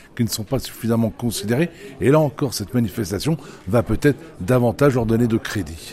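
A man with a normal speaking voice talks at a fairly quick pace. His intonation is lively. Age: 60s. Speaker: head gardener and radio columnist. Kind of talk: radio interview.

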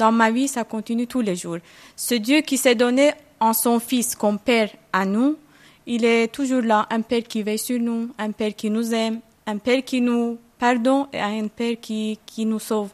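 This woman has a fairly high pitch and fairly even intonation. She talks at a fairly slow pace, with a dry, close sound and no echo. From Iran. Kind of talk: interview. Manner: hesitant.

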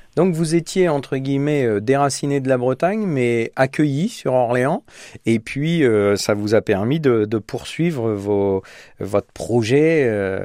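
A man's medium-pitched, dark and mellow voice, very slow in pace, with lively intonation and a dry, close sound free of echo. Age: 50s. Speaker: radio host. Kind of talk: radio interview. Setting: studio.

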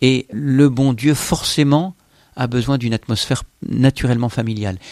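A man's medium-pitched voice with ordinary pitch variation, dry and close with no echo, on a very clean recording with a silent background. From France, Versailles. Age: 40s. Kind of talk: testimony. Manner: hesitant, frequent filler sounds.

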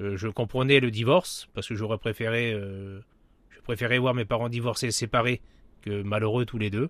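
A man at medium pitch and moderate pace, fairly even intonation, on a very clean recording with a silent background. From French Traveller community, northern France / Paris region. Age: 40s. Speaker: pastor. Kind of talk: testimony. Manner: halting.

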